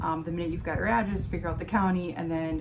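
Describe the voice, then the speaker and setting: The speaker has an American accent. There is audible room echo and noticeable background noise. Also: woman. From Wisconsin. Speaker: vlogger. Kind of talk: casual vlog tutorial. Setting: home office. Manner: hesitant, many fillers.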